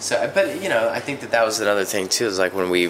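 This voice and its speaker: At a fairly quick pace, a man with an American accent speaks in a fairly low voice over noticeable background noise. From US South, West Virginia. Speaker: musician, band singer and lyricist. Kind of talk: casual interview.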